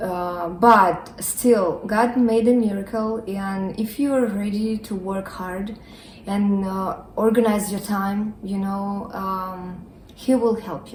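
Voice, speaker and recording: A woman's very slow speech in a non-native accent, fairly even in intonation, with big swings in loudness and audible room echo. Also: medium pitch for a woman. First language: not English. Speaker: nursing student. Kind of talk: casual interview. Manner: hesitant with fillers.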